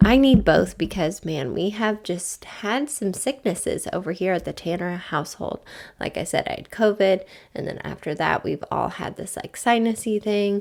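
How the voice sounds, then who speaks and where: At a moderate pace, a woman talks at a medium pitch with lively intonation, big swings in loudness and vocal fry. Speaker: podcast host. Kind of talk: casual monologue. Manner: warm, animated.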